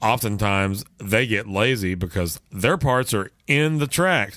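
A man with an American accent speaks at a fairly low pitch in a bright, sharp tone, with ordinary pitch variation. The recording is very clean, with a silent background. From Texas. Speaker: podcast host, musician. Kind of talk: casual chat.

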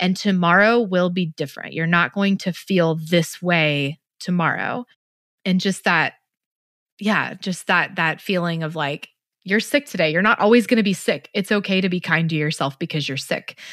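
Fairly low pitch from a woman with an ordinary speaking voice, ordinary pitch variation and a moderate pace, on a very clean recording with a silent background. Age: 30s. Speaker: podcast host and adoption advocate. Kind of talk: interview.

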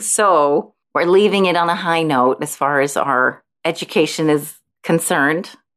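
A woman with an ordinary speaking voice, fairly low pitch and a fairly slow pace, over a quiet background. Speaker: podcast co-host.

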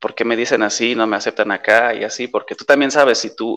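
The background stays quiet. A man's voice sits at a medium pitch. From western Germany near the Dutch border. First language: Polish (speaking Spanish). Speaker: expat interviewee. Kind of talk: casual interview. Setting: video call.

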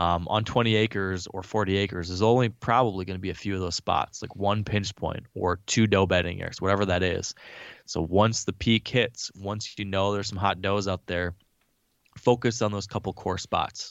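Using an ordinary speaking voice, a man speaks at a fairly low pitch and a moderate pace with fairly even intonation. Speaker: hunter, bow hunting guest. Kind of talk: casual interview.

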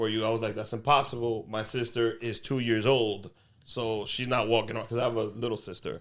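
Speaking at a fairly quick pace, a man uses a Spanish accent. His pitch sits in the medium range. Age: 30s. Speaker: comedian and podcaster. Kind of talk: casual chat.

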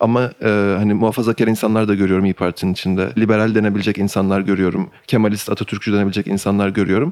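At a very fast pace with hardly any pauses, a man speaks at a fairly low pitch, with fairly even intonation and very even loudness. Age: 20s. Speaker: podcast host and editor. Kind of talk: interview.

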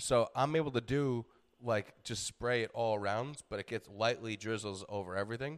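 On a very clean recording with a silent background, a man with an American accent and an unremarkable speaking voice talks at a moderate pace, medium pitch, and ordinary pitch variation. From New York. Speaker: comedian and fitness podcast host. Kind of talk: casual chat.

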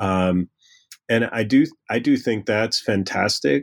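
This is a man with a normal speaking voice and a fairly low pitch. He speaks at a fairly slow pace on a very clean recording with a silent background. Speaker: history professor. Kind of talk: interview.

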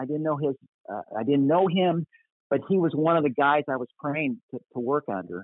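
With an American accent, a man speaks in a plain, everyday voice at a fairly quick pace, pitched fairly high with ordinary pitch variation. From US Midwest (Kansas, Minnesota). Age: 60s. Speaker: pastor. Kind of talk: casual chat.

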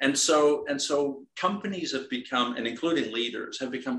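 The speaker has a bright, sharp tone and ordinary pitch variation, with a Dutch accent. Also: man. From Netherlands. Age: 50s. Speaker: executive coach and military veteran. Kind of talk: interview. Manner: halting, many repetitions.

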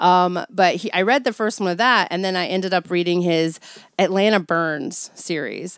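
A woman's normal speaking voice at a medium pitch, with a moderate pace and ordinary pitch variation. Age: 40s. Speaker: returning guest on horror film podcast. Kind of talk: casual chat.

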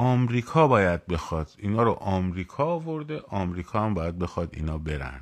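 At a moderate pace, the speaker's pitch swings very widely, captured on a very clean recording with a silent background. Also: man, fairly low pitch for a man. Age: 40s. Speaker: political commentator. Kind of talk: live stream monologue. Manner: animated.

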